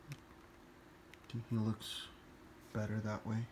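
A man talks at a very slow pace with a fairly low pitch. His voice is somewhat breathy and his intonation monotone and flat. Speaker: toy collector. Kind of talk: tutorial. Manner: halting.

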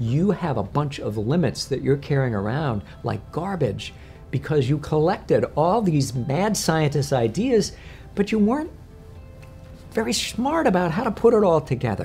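A man keeps a moderate pace while faint music sounds in the background. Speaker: coach or speaker. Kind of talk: interview answer. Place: home room. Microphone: lapel.

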